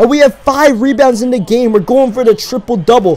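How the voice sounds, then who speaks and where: A man's energetic tone against noticeable background noise. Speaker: video game commentator / gamer. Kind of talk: casual gameplay commentary, talking over the game. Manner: energetic, conversational.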